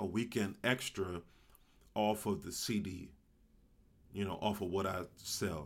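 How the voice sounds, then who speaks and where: A man's fairly low voice shows ordinary pitch variation. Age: 30s. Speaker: podcast host and comedian. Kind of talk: casual solo podcast monologue. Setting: alone in a room at home.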